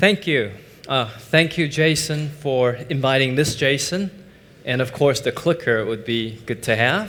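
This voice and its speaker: A fairly slow pace with ordinary pitch variation and audible room echo. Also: man, fairly high pitch for a man. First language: Mandarin Chinese. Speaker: finance professor and investment executive. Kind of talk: conference talk. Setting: stage with audience.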